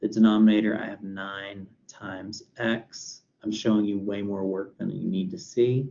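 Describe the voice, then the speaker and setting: A man with a plain, everyday voice, fairly low in pitch, at a moderate pace with hardly any pauses. His loudness swings widely while his intonation stays fairly even. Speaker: math professor. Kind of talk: lecture.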